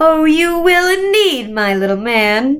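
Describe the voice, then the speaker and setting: In a quiet, put-on character voice, a woman speaks at a fairly slow pace with a high pitch and very wide pitch swings. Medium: read story. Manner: soothing, falsely kind, quietly menacing.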